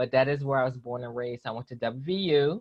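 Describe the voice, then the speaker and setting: In a West Virginia accent, a woman talks at a fairly quick pace with a very deep, low pitch. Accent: faint West Virginia. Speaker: psychologist. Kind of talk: interview.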